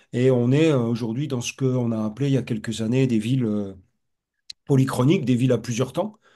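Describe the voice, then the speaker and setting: Dark and mellow in tone, a man's medium-pitched voice moves at a fairly quick pace with ordinary pitch variation. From north-east France, Lorraine. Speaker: professor, urban researcher. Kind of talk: webinar discussion. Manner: halting, many repetitions and fillers.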